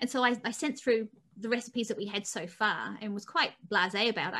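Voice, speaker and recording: Over a quiet background, a woman speaks at a very fast pace in a bright, sharp tone with ordinary pitch variation. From southern England, Hampshire; southern England. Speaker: former dairy farmer turned animal advocate; interview guest. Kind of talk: interview. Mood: warm, animated. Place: home room. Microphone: video call.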